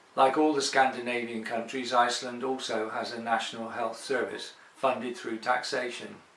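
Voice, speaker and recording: A man with an English accent at a moderate pace, with noticeable background noise. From England. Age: 60s. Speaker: expatriate sharing healthcare experience. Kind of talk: personal testimony.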